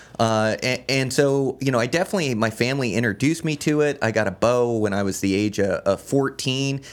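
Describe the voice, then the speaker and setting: With an American accent, a man speaks in an unremarkable speaking voice at a medium pitch, moving at a fairly quick pace with hardly any pauses and ordinary pitch variation, on a very clean recording with a silent background. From Washington state (Olympia). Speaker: backcountry hunter and podcaster. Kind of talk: casual interview. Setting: studio.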